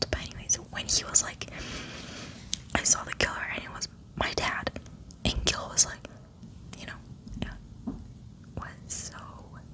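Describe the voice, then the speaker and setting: A woman whispering in a relaxed tone, fairly slowly, with long, frequent pauses, big swings in loudness and noticeable background noise. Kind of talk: ASMR ranting monologue, casual talk. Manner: whispered, relaxed.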